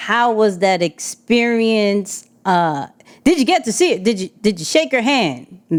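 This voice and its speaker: A woman talks fairly slowly, her fairly high voice swinging very widely in pitch. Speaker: podcast host. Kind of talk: podcast interview question.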